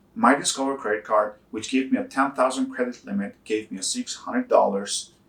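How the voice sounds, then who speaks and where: The pace of this man's speech is moderate. He talks with a non-native accent. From Albania. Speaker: personal finance YouTuber. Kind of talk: casual explainer talk to camera.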